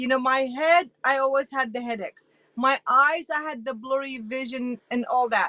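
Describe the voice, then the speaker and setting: In a dry, close recording with no echo, a woman projects a raised, high-pitched voice with a bright, sharp tone, ordinary pitch variation and a moderate pace. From Iraq. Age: 60s. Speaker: interview guest sharing health story. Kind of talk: testimony.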